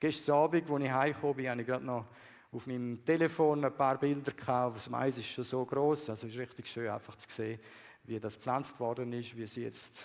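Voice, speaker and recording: This man has an ordinary speaking voice at medium pitch. He keeps a moderate pace and fairly even intonation. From Swiss, raised partly in Peru and Bolivia. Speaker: missionary. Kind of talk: sermon.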